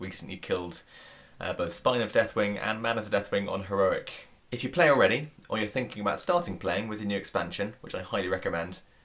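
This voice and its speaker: With a British accent, a man with a fairly low pitch talks at a very fast pace. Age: 20s. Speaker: YouTube vlogger. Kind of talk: casual vlog. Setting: indoors at home.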